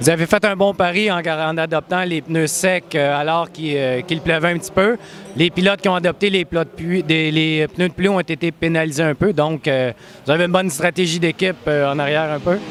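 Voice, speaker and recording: Over noticeable background noise, a high-pitched man talks at a fairly quick pace with fairly even intonation. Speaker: automotive journalist. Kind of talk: interview.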